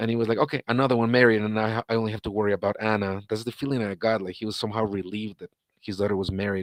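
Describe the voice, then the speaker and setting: A man with a Spanish accent, fairly low in pitch, in a monotone, flat intonation at a very fast pace, on a very clean recording with a silent background and a dry, close sound with no echo. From Guatemala. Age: 40s. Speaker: interviewee, ex-husband of a person in the news. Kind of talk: live-stream interview. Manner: halting, many repeats and false starts.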